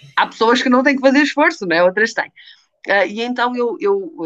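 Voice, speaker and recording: A woman with lively intonation. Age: 30s. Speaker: weight-loss program participant. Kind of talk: interview. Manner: halting, many fillers.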